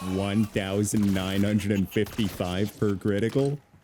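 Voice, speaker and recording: Noticeable background noise behind a man's fairly slow pace. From Caribbean. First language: not English (multilingual). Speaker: gaming YouTuber. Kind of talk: gameplay commentary. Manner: animated.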